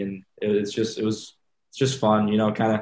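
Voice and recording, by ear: This voice has a slightly mellow tone and a slight French accent, moving at a moderate pace. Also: man.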